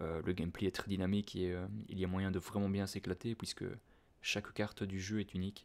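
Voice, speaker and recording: A soft-spoken man with a calm tone talks at a fairly quick pace. His fairly low voice keeps a monotone, flat intonation. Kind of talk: casual talk to camera. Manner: soft-spoken, calm.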